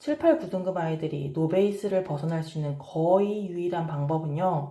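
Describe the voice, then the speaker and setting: A woman speaks with a dark, mellow tone and lively intonation, her voice somewhat breathy against audible room echo. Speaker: parenting and study coach. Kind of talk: advice talk to camera.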